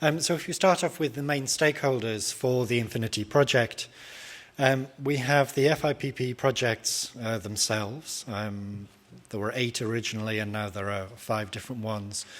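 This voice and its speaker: The speaker is a man with a British accent. His pitch rises and falls in an ordinary way. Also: medium pitch for a man, moderate pace. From Britain. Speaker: academic researcher. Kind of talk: conference presentation. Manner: hesitant, many filler sounds.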